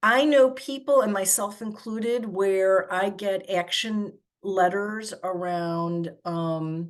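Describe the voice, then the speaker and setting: A woman speaks at a very slow pace with hardly any pauses. Her pitch is medium, with ordinary variation. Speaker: advocacy organizer leading a training. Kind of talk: online workshop presentation.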